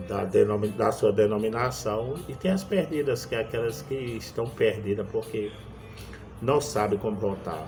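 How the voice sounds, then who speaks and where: Over music in the background and with audible room echo, a man speaks at a fairly slow pace and medium pitch with lively intonation. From Brazil, Pernambuco backlands (Northeast). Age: 60s. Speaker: evangelist preacher. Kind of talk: sermon. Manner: halting.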